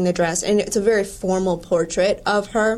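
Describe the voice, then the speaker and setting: A woman's unremarkable speaking voice in an American accent, medium in pitch, fairly even in intonation, at a moderate pace. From Wisconsin. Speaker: museum curator. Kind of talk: casual chat.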